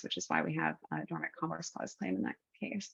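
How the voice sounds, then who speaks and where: At a very fast pace, a woman talks with vocal fry. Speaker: attorney and webinar speaker. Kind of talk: presentation.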